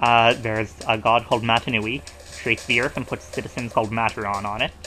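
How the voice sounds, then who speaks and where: Very fast speech over music in the background. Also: man. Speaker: let's play gamer. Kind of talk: casual gameplay commentary. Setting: low-quality home microphone.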